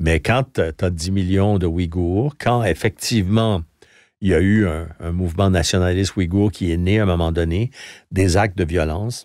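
Against a quiet background, a man speaks at a moderate pace with a very deep, low pitch in a dry sound with no echo. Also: ordinary pitch variation. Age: 70s. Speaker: retired journalist and foreign correspondent; retired journalist, foreign correspondent. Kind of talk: interview. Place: studio. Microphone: studio mic.

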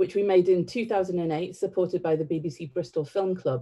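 A woman's fairly low, dark, mellow voice at a fairly slow pace, with ordinary pitch variation and a quiet background. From northern England (County Durham), born in Sri Lanka. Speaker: theatre director. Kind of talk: public talk. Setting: online livestream. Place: home room.

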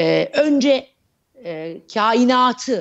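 Over a quiet background, a woman speaks at a high pitch with very wide pitch swings. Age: 40s. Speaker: astrologer; guest. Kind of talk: interview. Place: home room. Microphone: earbuds.

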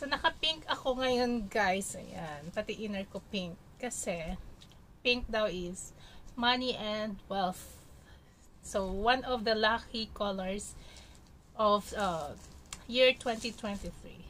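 A woman talks at a very slow pace with long, frequent pauses. Light background noise can be heard. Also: ordinary pitch variation. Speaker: food vlogger. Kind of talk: casual vlog chat. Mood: cheerful, festive. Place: home room. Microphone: phone near.

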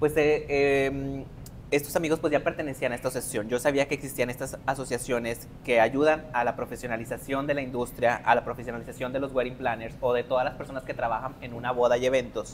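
Speaking at a fairly quick pace with hardly any pauses, a man holds a monotone, flat intonation over light background noise. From Mexico, Linares, Nuevo León; Nuevo León, Mexico. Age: 30s. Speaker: wedding planner; guest. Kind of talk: interview. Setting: live podcast before student audience. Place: classroom. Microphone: lapel.

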